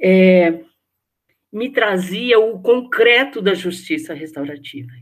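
Very slow speech with lively intonation. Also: woman. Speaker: nurse, restorative justice practitioner. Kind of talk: interview, personal storytelling.

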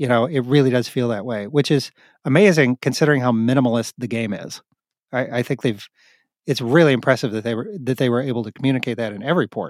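In a very clean recording with a silent background and dry, close sound without echo, a man with an American accent talks at a very fast pace. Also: medium pitch for a man, ordinary pitch variation. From US Midwest, Missouri. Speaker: podcast host. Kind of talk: casual chat.

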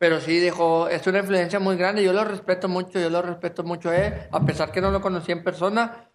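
The man's high-pitched voice moves at a fairly quick pace in a monotone, flat intonation with hardly any pauses. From Monterrey area, northern Mexico. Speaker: rapper. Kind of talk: casual chat.

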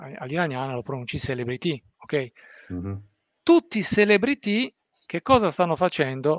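At a moderate pace, a man with a fairly high pitch makes very wide pitch swings and long, frequent pauses, in a dry, close sound with no echo and a quiet background. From Italy, Abruzzo and Apulia. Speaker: football and Iran commentator. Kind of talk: live-streamed discussion.

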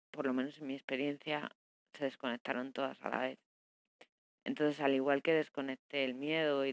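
A woman speaks in a very deep, low pitch with a monotone, flat intonation, the sound dry and close with no echo. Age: 30s. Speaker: life coach podcaster. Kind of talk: personal diary monologue. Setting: alone at home. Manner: halting, many fillers.

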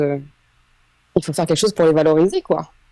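Very fast in pace, a woman speaks at a fairly low pitch with a dark, mellow tone. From Île-de-France, France. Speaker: creator of a social media project on women. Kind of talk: casual interview chat.

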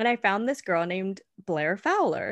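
Her pace is fairly slow, with ordinary pitch variation. The woman has an unremarkable speaking voice. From California. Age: 20s. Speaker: beauty podcast co-host. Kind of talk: casual chat.

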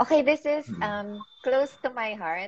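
A woman speaks at a fairly slow pace. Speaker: makeup artist and podcast host. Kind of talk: casual interview.

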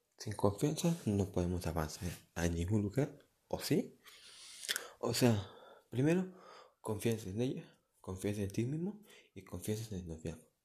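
A man with a fairly low pitch and a dark, mellow tone speaks at a fairly slow pace, somewhat breathy, with lively intonation and long, frequent pauses. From Mexico, Michoacán. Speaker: amateur podcaster. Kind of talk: casual monologue. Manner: halting.

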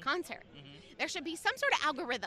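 A woman's raised, projected voice. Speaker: tailgate fan, Panthers fan. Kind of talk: casual chat. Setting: outdoors at a stadium tailgate.

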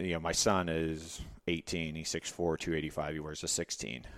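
Very deep and low, a man's voice carries an American accent and a monotone, flat intonation. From Texas (Katy, near Houston). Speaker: sleep doctor and former Navy SEAL. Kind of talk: casual interview.

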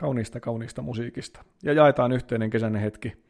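This man talks at a moderate pace in a medium pitch with ordinary pitch variation, an ordinary speaking voice. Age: 30s. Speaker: priest and podcaster. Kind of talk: casual solo podcast monologue.

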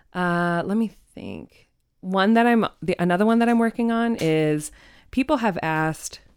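A woman's unremarkable speaking voice, medium in pitch, with an American accent, lively intonation, a moderate pace, and a very clean recording against a silent background. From Arizona, Phoenix area (Ahwatukee). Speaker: journalist and podcast host. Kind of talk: casual interview chat. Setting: studio.

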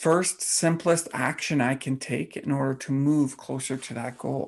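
A man with a plain, everyday voice speaks slowly-ish at a fairly slow pace, with a fairly high pitch and fairly even intonation. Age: 40s. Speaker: fitness coach and podcast host. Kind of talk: solo podcast monologue.

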